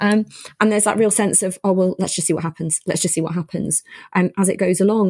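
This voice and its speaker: This woman has a dark, mellow, somewhat breathy tone at medium pitch with ordinary pitch variation. The sound is dry and close with no echo. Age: 40s. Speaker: podcast host and GP. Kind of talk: interview chat.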